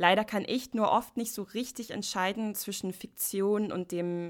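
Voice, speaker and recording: A woman speaks with ordinary pitch variation in a very clean recording over a silent background. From United States. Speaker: podcast host. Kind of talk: solo podcast monologue.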